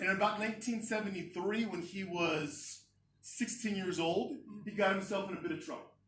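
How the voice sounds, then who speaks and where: A man with an American accent talks at a fairly quick pace and a high pitch, with ordinary pitch variation. Audible room echo surrounds his voice. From United States. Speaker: educator and guest speaker. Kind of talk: speech to a club meeting. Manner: casual, with many fillers and restarts.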